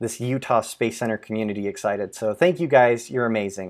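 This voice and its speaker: The recording is very clean, with a silent background. A man speaks at medium pitch. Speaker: software developer. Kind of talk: live stream Q&A. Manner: fast.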